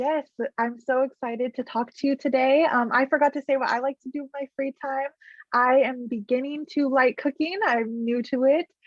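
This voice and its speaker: High-pitched and fairly even in intonation, a woman speaks with an American accent. Her pace is moderate. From California, Central Valley. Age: 20s. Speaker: graduate student podcast host. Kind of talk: podcast interview.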